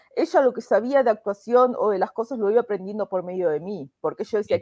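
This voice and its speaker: A woman's fairly quick speech in a dry, close sound with no echo. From Argentina, Buenos Aires. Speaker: immigration lawyer. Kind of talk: interview.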